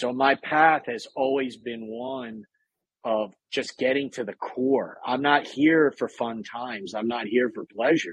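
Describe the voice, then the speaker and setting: A man speaks at medium pitch with fairly even intonation, an ordinary speaking voice. The pace is fairly slow, and the sound is dry and close with no echo. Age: 30s. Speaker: military veteran and author. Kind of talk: casual chat.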